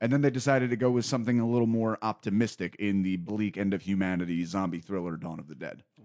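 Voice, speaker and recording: The man leaves hardly any pauses. His pace is very fast. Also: fairly low pitch for a man, ordinary pitch variation. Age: 30s. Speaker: podcast host and comedian. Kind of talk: casual chat.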